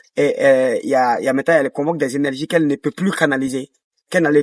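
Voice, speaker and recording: This man has a West African accent and a fairly high pitch with ordinary pitch variation. He talks at a fairly quick pace, with a dry, close sound and no echo. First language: Dioula (speaking French). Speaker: dancer and choreographer. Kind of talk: interview. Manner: hesitant, many fillers.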